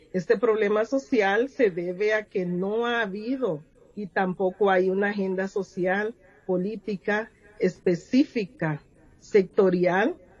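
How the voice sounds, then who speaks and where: A woman speaks at a very slow pace with a Honduran accent. Her pitch is medium, with ordinary pitch variation. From Honduras, Garífuna community. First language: Garífuna (speaking Spanish). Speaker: poet and educator. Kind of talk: interview.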